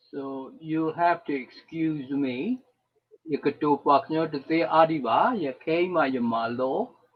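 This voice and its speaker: A man's very slow pace, fairly high pitch and ordinary pitch variation. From Burma (Karen). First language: Karen. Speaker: retired engineer and refugee volunteer. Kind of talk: personal testimony. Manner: halting.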